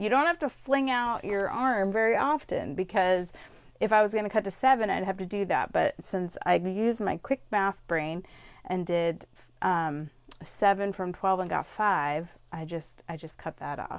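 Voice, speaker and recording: A woman speaks with a plain, everyday voice at a medium pitch. Her intonation is lively and her pace moderate. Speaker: scrapbooking product demonstrator. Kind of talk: craft tutorial demo.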